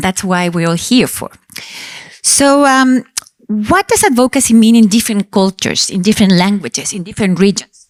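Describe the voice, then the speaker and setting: On a very clean recording with a silent background and a dry, close sound with no echo, a woman with a Spanish accent talks fairly quickly at a medium pitch. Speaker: panel chair, mother of childhood cancer survivor. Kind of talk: panel moderation at congress.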